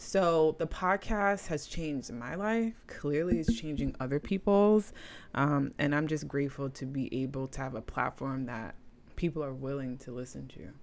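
At a moderate pace, a woman with a very deep, low pitch speaks with lively intonation. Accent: New York. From New York, the Bronx. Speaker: spiritual practitioner, tarot reader. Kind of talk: interview conversation. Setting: video call.

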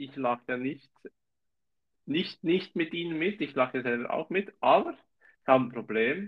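With a Swiss German accent, a man talks at a moderate pace and a fairly high pitch, his intonation lively. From Switzerland, canton of Zurich. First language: Swiss German (speaking German). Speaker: podcast co-host. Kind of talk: casual chat.

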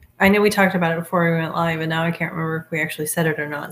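A woman's somewhat breathy voice at a fairly low pitch, with fairly even intonation. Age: 40s. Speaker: podcast host and special education parent advocate. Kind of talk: casual interview.

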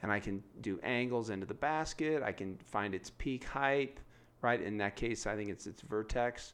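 A man with an American accent and an ordinary speaking voice, at a moderate pace and medium pitch, with ordinary pitch variation. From San Diego, California. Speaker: school principal. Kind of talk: casual interview.

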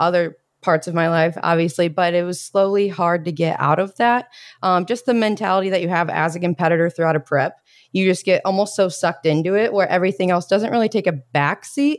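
It's a plain, everyday voice: a woman at a medium pitch, speaking at a fairly quick pace with ordinary pitch variation, on a very clean recording with a silent background. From US Midwest, Indiana (Bloomington). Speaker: fitness coach. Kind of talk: casual chat.

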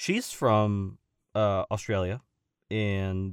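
American accent from a man, the sound dry and close with no echo. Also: very clean recording, silent background. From Southern California (Simi Valley). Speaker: voice actor and stuntman. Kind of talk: interview conversation. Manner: halting, many fillers and restarts.

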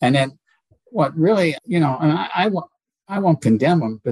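Lively intonation and a somewhat breathy quality come through in a dry, close sound with no echo. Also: man. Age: 70s. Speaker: homicide detective. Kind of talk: interview, conversational.

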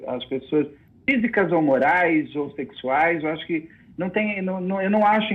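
At a moderate pace, a man speaks high in pitch with lively intonation. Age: 40s. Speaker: film director and screenwriter. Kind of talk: casual interview. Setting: online video call or stream.

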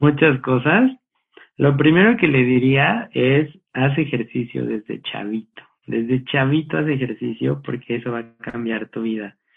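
An ordinary speaking voice, a man at a fairly slow pace with ordinary pitch variation. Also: medium pitch for a man. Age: 30s. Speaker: church volunteer and business analyst. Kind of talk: casual interview chat. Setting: video call.

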